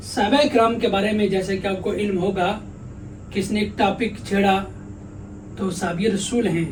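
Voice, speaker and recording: The voice has fairly even intonation, heard over noticeable background noise. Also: man, high pitch for a man. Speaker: Islamic scholar / mufti giving a sermon. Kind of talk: religious sermon / interview answer.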